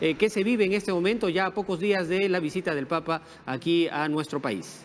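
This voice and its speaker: A man speaks in a high voice. His pitch variation is ordinary. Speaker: news anchor. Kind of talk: news broadcast.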